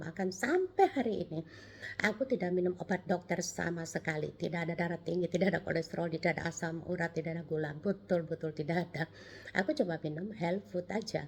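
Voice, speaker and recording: Somewhat breathy, a woman speaks at a very fast pace in a fairly low pitch with ordinary pitch variation. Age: 70s. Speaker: cancer survivor sharing testimony. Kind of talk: testimony. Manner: halting.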